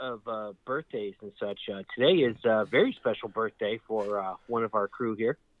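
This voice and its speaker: Here is a man with an unremarkable speaking voice, medium in pitch and with ordinary pitch variation. He keeps a moderate pace with hardly any pauses, and his loudness swings widely. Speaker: podcast host. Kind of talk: casual chat.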